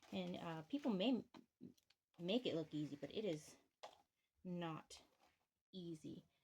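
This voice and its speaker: A woman's fairly low voice, fairly slow and lively in intonation, broken by long, frequent pauses. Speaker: bookbinder. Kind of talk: craft demonstration. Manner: halting.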